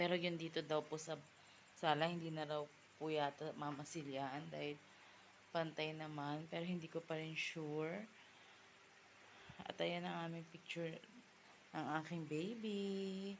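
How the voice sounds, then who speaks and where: Pausing long and often, a woman with a very deep, low pitch speaks at a fairly slow pace with fairly even intonation. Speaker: vlogger and field representative. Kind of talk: casual home vlog. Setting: at home.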